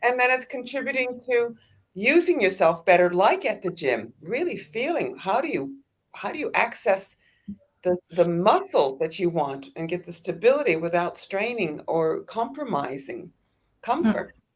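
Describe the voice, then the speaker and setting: A woman speaks at a medium pitch with vocal fry and very wide pitch swings. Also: moderate pace. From Australia. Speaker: movement teacher. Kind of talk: casual interview.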